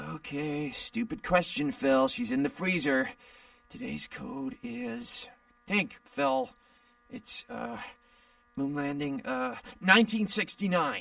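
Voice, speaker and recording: Using a put-on character voice, a man speaks at a high pitch with very wide pitch swings and long, frequent pauses. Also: fairly slow pace. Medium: video game. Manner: hesitant, rambling.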